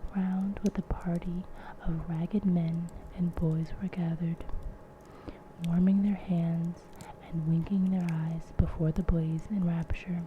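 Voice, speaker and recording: A soft-spoken voice moves at a fairly slow pace with long, frequent pauses. Noticeable background noise sits behind it. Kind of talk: ASMR audiobook reading of a classic novel. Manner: soft-spoken, relaxing.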